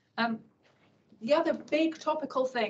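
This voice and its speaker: A woman speaks somewhat breathily at a fairly quick pace, with ordinary pitch variation. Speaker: government transport official. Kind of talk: conference talk. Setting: event room with audience, holding a microphone. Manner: quietly spoken.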